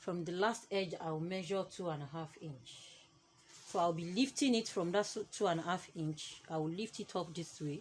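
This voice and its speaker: This woman has a fairly low pitch and ordinary pitch variation. She talks at a moderate pace. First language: not English. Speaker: fashion tutorial maker. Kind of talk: tutorial.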